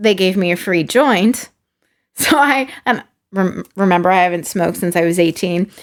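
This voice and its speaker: A plain, everyday voice with an American accent moves at a moderate pace with lively intonation, on a very clean recording with a silent background. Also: woman. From California, San Diego. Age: 30s. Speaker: actor. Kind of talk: casual chat.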